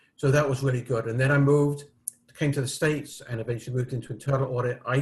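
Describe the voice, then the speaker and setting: A man with a British accent speaks at a medium pitch in a somewhat breathy voice with monotone, flat intonation. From United Kingdom. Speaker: risk management expert and author. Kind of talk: interview. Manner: hesitant, many fillers.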